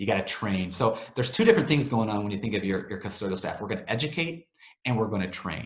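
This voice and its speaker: A man with a fairly low voice talks at a fairly quick pace with lively intonation, and the room echo is audible. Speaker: webinar presenter for a cleaning vendor. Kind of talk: webinar presentation. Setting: online webinar. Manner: fast; casual, filler-heavy.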